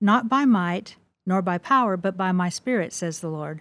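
The speaker is a woman with a Midwestern accent. Her pitch varies in an ordinary way. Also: very clean recording, silent background. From US Midwest. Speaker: author. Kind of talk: interview.

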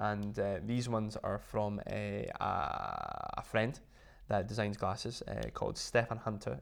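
Speaking fairly slowly, a man talks in a Scottish accent. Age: 20s. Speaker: luxury accessory designer and former golfer. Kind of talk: casual interview. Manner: animated.

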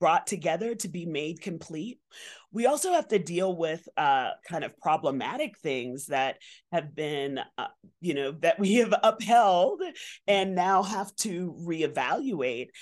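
A woman with an ordinary speaking voice, fairly low in pitch, with lively intonation and a fairly slow pace, over a quiet background. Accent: American. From Bronx, New York. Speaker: environmental educator and association president. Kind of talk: casual interview. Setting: outdoor hotel patio.

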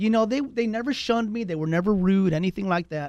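With lively intonation, a man speaks in an American accent against a quiet background. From Texas, San Antonio (southeast side). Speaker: real estate agent. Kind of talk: casual interview chat.

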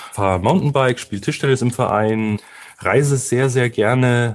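The pace of this man's speech is fairly quick. His pitch variation is ordinary. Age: 30s. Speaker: SEO consultant. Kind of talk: interview. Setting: studio.

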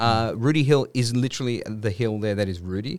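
A man with an Australian accent talks at medium pitch with ordinary pitch variation on a very clean recording with a silent background. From Western Sydney, Australia. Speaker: filmmaker. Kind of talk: casual chat. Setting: studio.

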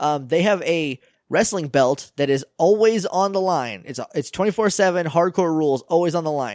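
Lively intonation from a man with a high pitch, at a moderate pace, on a very clean recording with a silent background. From New Hampshire. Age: 20s. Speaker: podcast host. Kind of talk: casual chat.

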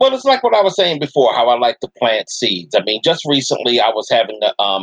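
The man's pitch varies in an ordinary way while he speaks at a fairly quick pace. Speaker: anti-fascist activist. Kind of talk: casual interview. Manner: hesitant, filler-heavy.

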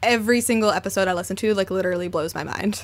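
This woman is heard on a very clean recording against a silent background. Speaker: podcast host. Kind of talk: casual chat.

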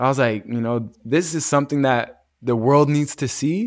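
On a very clean recording with a silent background, a man with an unremarkable speaking voice talks at a moderate pace, his pitch fairly high with ordinary variation. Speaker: wellness entrepreneur and retreat organizer. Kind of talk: casual interview.

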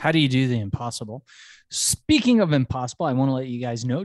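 A man's medium-pitched voice, a normal speaking voice, dry and close with no echo, over a quiet background.

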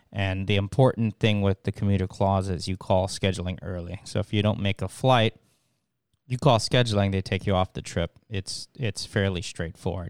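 A man speaks at a moderate pace with a fairly low pitch and fairly even intonation, in a normal speaking voice. The recording is very clean, with a silent background. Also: dry, close sound with no echo. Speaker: airline pilot, podcast host. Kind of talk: interview podcast.

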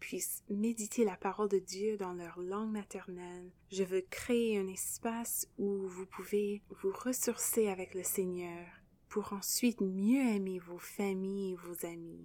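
A woman with an English accent talks at a very slow pace. Her tone is dark and mellow. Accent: English-speaking accent in French. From English Canada. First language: English (speaking French). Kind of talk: devotional podcast monologue.

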